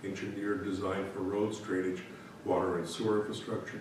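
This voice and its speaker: A man rattles off his words at a very fast pace amid audible room echo and noticeable background noise. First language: not English. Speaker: municipal staff member presenting resolutions. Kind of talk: reading resolutions aloud at council meeting. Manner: formal.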